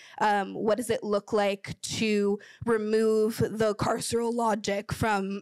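Against a quiet background, a woman speaks very slowly in a flat monotone. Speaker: panelist. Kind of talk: panel discussion answer. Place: hall. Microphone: handheld.

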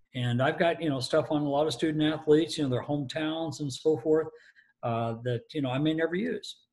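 A somewhat breathy man with an American accent, fairly quick, with ordinary pitch variation and a quiet background. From US Midwest. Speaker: stadium announcer. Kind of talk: interview answer, telling anecdotes. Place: home room. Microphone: video call.

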